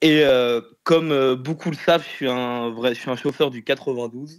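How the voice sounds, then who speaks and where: An ordinary speaking voice at a moderate pace, its intonation fairly even throughout. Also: man. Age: 20s. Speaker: private hire driver. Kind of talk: casual interview.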